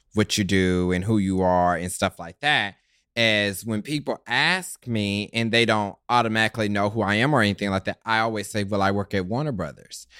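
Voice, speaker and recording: A man with an American accent speaks at a moderate pace in a fairly low voice with a bright, sharp tone. The very clean recording is dry and close, with no echo and a silent background. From Kansas City, US Midwest. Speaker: TV show personality guest. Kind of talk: casual chat.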